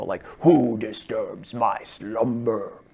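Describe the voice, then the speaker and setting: In a booming put-on character voice, a man speaks at a medium pitch. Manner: menacing, scary.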